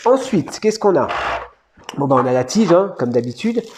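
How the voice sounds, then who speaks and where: Noticeable background noise can be heard while a man speaks. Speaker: toy collector youtuber. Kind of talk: unboxing review. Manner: fast; casual, hesitant.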